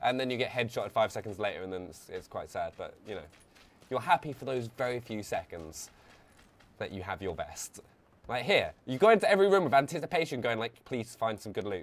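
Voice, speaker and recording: A man with a London accent at a fairly quick pace, with very wide pitch swings and big swings in loudness. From England, London. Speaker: gaming streamer. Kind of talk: live gameplay stream commentary. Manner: animated. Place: home room. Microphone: headset.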